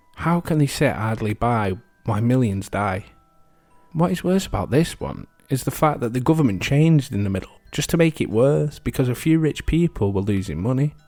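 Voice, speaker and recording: A man at medium pitch, fairly quick, with very wide pitch swings over background music. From England. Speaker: history podcast host. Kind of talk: casual reflective commentary; podcast narration.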